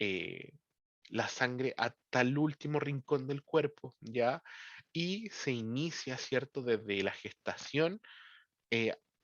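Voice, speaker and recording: The delivery is very slow. The intonation is lively. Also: man, medium pitch for a man. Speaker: teacher. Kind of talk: lecture. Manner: frequent verbal tics like ¿ya? and ¿cierto?.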